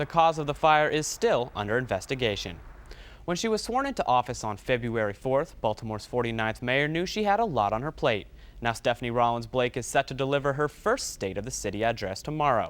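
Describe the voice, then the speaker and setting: In an ordinary speaking voice, a man talks at medium pitch and a fairly quick pace with lively intonation. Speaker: broadcast journalism student. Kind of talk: TV news anchor read. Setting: studio.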